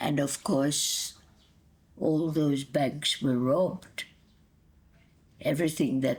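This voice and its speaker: A woman speaks very slowly with a very deep, low pitch. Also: very clean recording, silent background. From Hungary, Budapest. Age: 80s+. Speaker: grandmother telling life story. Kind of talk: oral history interview.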